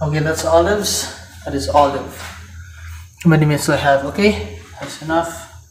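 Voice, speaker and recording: A man with a fairly high pitch speaks with long, frequent pauses. Audible room echo and light background noise surround him. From Philippines. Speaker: cooking vlogger. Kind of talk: cooking tutorial with casual chat. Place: kitchen. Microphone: camera far.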